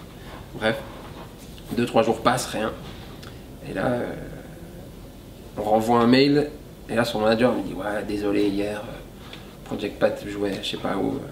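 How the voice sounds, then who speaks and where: Speaking very slowly with long, frequent pauses, a man keeps his intonation fairly even while his loudness swings widely, with audible room echo and noticeable background noise. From French-speaking Switzerland. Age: young. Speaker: rapper. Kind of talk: interview.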